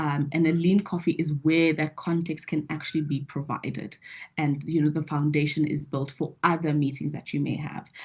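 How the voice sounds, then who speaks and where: Against a quiet background, a woman speaks in a very deep, low, somewhat breathy voice with monotone, flat intonation. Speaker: webinar presenter. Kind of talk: webinar Q&A. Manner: fast.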